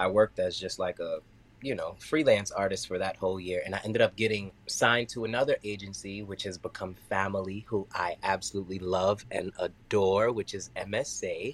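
With a New York accent, a man talks with hardly any pauses. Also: moderate pace. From US, Queens, New York. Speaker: dancer and choreographer. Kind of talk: casual chat.

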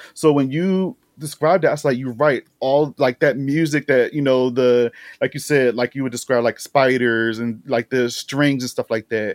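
A man with a normal speaking voice talks at a moderate pace and medium pitch, with fairly even intonation and a dry, close sound with no echo. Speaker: horror YouTube host and critic. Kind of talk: casual chat.

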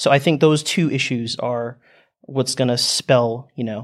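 With an American accent, a man speaks in an unremarkable speaking voice at medium pitch and with fairly even intonation. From United States. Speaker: exchange student. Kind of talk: panel discussion. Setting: studio.

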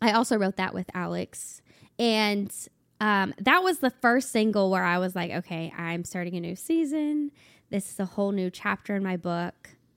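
In a very clean recording with a silent background and a dry, close sound with no echo, a woman with an unremarkable speaking voice talks at medium pitch and a moderate pace with lively intonation. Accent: American. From Ohio, Cincinnati. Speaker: country singer-songwriter. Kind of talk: casual chat.

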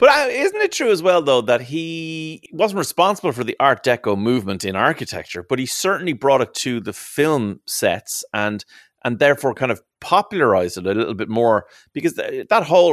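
On a very clean recording with a silent background and a dry, close sound with no echo, a man with a Dublin accent talks at a fairly high pitch and a fairly quick pace with very wide pitch swings. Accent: Irish (Dublin). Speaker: radio presenter and podcast co-host. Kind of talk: casual chat; interview.

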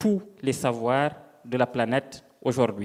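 A man talks very slowly, his intonation lively. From Senegal. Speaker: novelist. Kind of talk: panel discussion.

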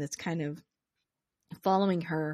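Against a quiet background, a woman uses an ordinary speaking voice at a fairly low pitch, with fairly even intonation and a moderate pace. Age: 30s. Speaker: podcaster. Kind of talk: casual chat.

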